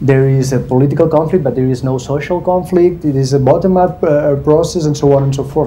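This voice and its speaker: Through audible room echo and noticeable background noise, a man speaks at a medium pitch with ordinary pitch variation. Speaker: government public diplomacy representative. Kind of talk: panel discussion. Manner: halting.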